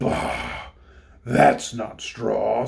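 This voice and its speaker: A man in a growling, put-on character voice. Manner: gruff, disgusted.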